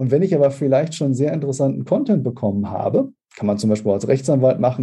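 Very fast and with lively intonation, a man speaks at a medium pitch. His dark, mellow tone is somewhat breathy. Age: 40s. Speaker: speaker agency owner and sales consultant. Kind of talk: podcast interview.

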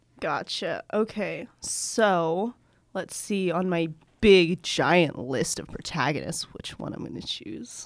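On a very clean recording with a silent background, a woman speaks very slowly with lively intonation, vocal fry, and big swings in loudness. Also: fairly low pitch for a woman. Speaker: podcast co-host and writer. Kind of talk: casual chat, improvised writing game. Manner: animated, excitable.

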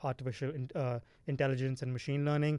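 This man talks with a fairly high pitch and a monotone, flat intonation. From India. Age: 20s. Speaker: podcast co-host, tech entrepreneur. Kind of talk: casual chat.

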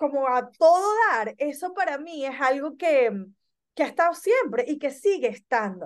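Speaking at a fairly slow pace, a woman with a high pitch has an animated tone and lively intonation. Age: 30s. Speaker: business consultant. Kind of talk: casual chat.

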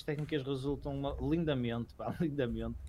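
In a European Portuguese accent, a man speaks at a moderate pace. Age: 20s. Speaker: podcast co-host. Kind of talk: casual chat.

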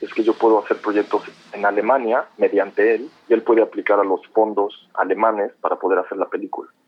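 A man is speaking. His pace is fairly quick. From Mexico City. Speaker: film director. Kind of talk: interview.

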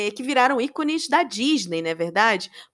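On a very clean recording with a silent background, a woman speaks in an animated tone at a high pitch. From Brazil, Rio de Janeiro. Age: 40s. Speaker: podcast host. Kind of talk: solo podcast monologue.

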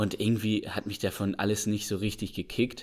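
At a moderate pace, a plain, everyday voice comes through on a very clean recording with a silent background. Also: man. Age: 20s. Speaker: agricultural engineering student, trained farmer. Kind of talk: interview.

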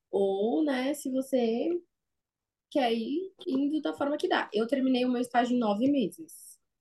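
In a high pitch, a woman talks at a fairly slow pace with lively intonation and a dark, mellow tone. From São Paulo city, Brazil. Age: 20s. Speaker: perfusionist. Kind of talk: interview.

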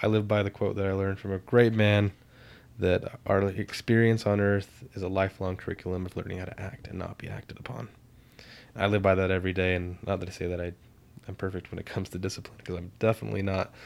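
Mumbling very fast, a man speaks at a very deep, low pitch with fairly even intonation. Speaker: podcast co-host, therapy student. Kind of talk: casual chat.

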